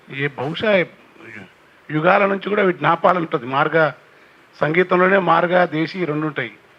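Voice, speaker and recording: A man's high voice carries fairly even intonation. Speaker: poet and folk singer. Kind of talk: public speech on cultural heritage.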